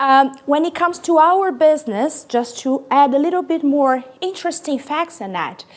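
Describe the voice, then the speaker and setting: A woman speaks with a Brazilian accent and a high pitch. Her pitch variation is ordinary. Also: moderate pace, hardly any pauses. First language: Portuguese. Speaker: corporate sustainability executive. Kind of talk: conference talk. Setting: stage with audience. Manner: loud; energetic.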